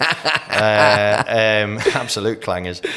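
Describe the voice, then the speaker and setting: Noticeable background noise sits under a man with an Australian accent. His fairly low voice stays monotone and flat. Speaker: master auctioneer, real estate trainer and mentor. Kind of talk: casual podcast interview answer, storytelling.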